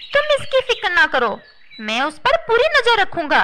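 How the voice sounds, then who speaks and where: This is a cartoonish character voice at a moderate pace. Its pitch swings very widely. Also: woman, extremely high pitch for a woman. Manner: sly, self-assured.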